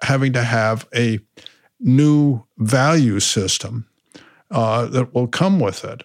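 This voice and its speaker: A man speaks at a very slow pace. His voice sits at a medium pitch. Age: 80s+. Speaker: venture capitalist and author. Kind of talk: interview. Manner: halting, many fillers.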